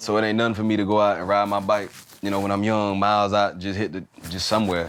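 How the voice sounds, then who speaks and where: With a Southern US accent, a man talks at a very fast pace and a fairly low pitch. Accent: country Southern. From Florida (Lakeland, Fort Myers, Tampa). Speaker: former college football player and business owner. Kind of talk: casual podcast interview.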